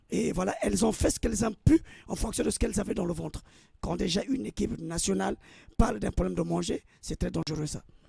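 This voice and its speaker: A man at a very fast pace, in a dry, close sound with no echo. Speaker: football pundit. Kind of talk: radio sports talk.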